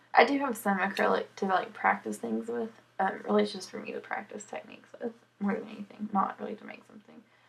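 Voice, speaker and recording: A woman at a fairly quick pace, with noticeable background noise. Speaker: cross stitcher and knitter. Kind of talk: casual podcast talk to camera. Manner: mumbles at times.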